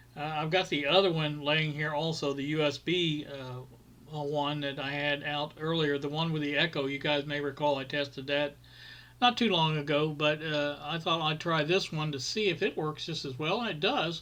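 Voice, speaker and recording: Fairly high-pitched and bright, sharp in tone, a man talks at a moderate pace with fairly even intonation. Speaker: hobbyist tech YouTuber. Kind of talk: screen-recorded tutorial. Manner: halting.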